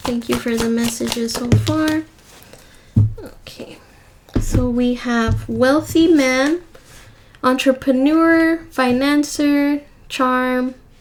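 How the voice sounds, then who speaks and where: A woman speaks very slowly in a high voice with ordinary pitch variation, over noticeable background noise. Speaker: tarot reader. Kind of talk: tarot reading. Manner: repetitive.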